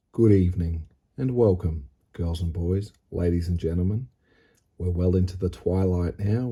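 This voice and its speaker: Speaking quietly at a fairly slow pace, a man with an Australian accent has a very deep, low pitch, a dark, mellow tone, a somewhat breathy quality and ordinary pitch variation. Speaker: model railway hobbyist and video host. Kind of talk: casual hobby vlog narration. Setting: home hobby room at night. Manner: hushed, quiet.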